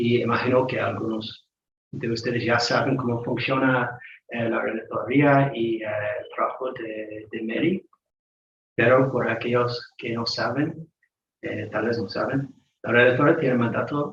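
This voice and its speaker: A man at medium pitch with a non-native accent, a fairly slow pace, and fairly even intonation. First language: not Spanish (speaking Spanish). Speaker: UN human rights staff member. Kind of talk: panel talk. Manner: halting, many fillers.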